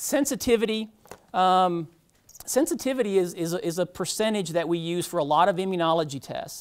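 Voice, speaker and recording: The speech moves at a fairly quick pace in a slight Georgia accent. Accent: slight Southern US (Georgia). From US South, Georgia. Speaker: medical technologist, lecturer. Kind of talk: lecture. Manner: casual, many fillers (um).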